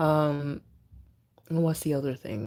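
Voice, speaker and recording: Soft-spoken, a woman with a very deep, low pitch speaks at a moderate pace with fairly even intonation in a very clean recording with a silent background. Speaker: livestream host. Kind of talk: casual livestream chat. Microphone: speaker moves close to mic after viewer can't hear.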